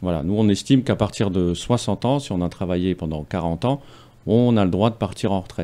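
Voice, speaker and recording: A man speaks at a moderate pace with a very deep, low pitch and ordinary pitch variation. His tone is dark and mellow. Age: 40s. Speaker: political candidate; candidate. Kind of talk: radio interview. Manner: halting. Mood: earnest, persuasive appeal to vote. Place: studio. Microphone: studio mic.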